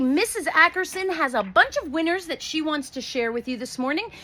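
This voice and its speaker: A woman's raised, projected voice, high in pitch, with very wide pitch swings and a moderate pace. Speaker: school principal. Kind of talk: school morning announcements. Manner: animated.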